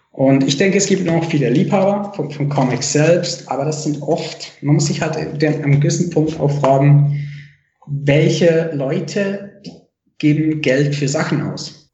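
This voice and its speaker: Spoken at a very slow pace with fairly even intonation, the voice carries audible room echo. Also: man, fairly high pitch for a man. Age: 30s. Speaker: comic artist. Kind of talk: casual interview chat. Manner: hesitant, many fillers.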